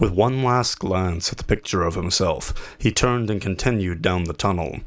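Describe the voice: Simply plain reading aloud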